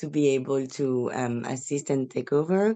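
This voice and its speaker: A woman speaking at a fairly slow pace with ordinary pitch variation. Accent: French. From France. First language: French. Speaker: parent. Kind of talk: meeting introduction. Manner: halting.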